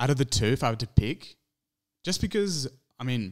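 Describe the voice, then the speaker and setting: A man speaks with an Australian accent and lively intonation. The background is quiet. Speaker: movie podcast co-host. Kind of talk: casual chat. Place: home room. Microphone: studio mic.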